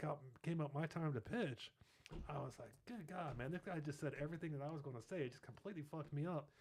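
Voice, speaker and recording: Somewhat breathy and fairly high, a man's voice rushes at a very fast pace in an American accent. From Ohio, near Cincinnati. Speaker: marketing agency founder and navy veteran. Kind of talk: casual interview chat.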